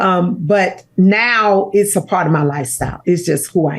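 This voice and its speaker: Here is a normal speaking voice at a fairly slow pace. Its pitch varies in an ordinary way. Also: woman. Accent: American. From Chicago, US Midwest. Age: 60s. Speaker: pastor and author. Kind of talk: interview conversation.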